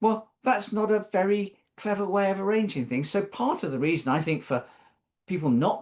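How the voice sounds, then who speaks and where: The speaker, with a British accent, is heard against a quiet background. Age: 60s. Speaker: social care policy expert panelist. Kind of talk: webinar panel talk. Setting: online webinar. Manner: thoughtful, conversational with hesitations.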